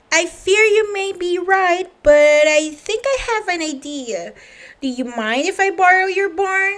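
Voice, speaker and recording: Using a put-on character voice, a woman speaks fairly slowly in an extremely high, squeaky pitch with lively intonation. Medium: read story. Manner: calm, good-natured.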